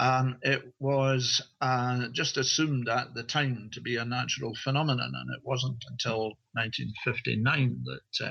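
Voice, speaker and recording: A man with a Scottish accent speaks at a moderate pace and medium pitch. His intonation is monotone and flat. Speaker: author and researcher. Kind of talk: interview. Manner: halting, with fillers.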